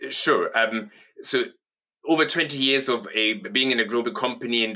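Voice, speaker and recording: At a moderate pace, a man speaks in a bright, sharp tone. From southern Germany (Munich). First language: German. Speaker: company co-founder and managing director. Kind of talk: interview.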